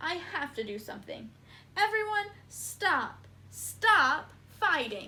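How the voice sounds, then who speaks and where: In a high-pitched put-on character voice, the speaker goes at a fairly slow pace with long, frequent pauses. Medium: read story.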